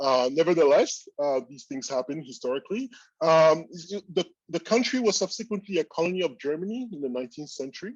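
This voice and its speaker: Over a quiet background, a man with a French accent talks at a very fast pace and fairly high pitch, with lively intonation, big swings in loudness and a dry, close sound with no echo. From Cameroon, French-speaking part. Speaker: statistics professor. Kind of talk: keynote lecture. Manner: hesitant, many fillers.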